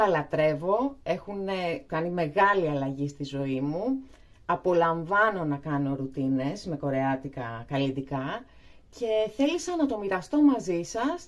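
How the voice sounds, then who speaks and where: In a fairly low pitch, a woman speaks at a fairly slow pace with very wide pitch swings. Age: 40s. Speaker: beauty vlogger. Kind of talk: tutorial. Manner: hesitant, many fillers.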